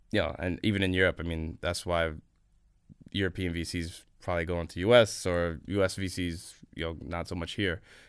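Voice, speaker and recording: A man with an American accent talks at a very deep, low pitch with fairly even intonation on a very clean recording with a silent background. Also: moderate pace. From New York, US. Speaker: venture capital investor. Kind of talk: podcast interview. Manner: casual, filler-heavy.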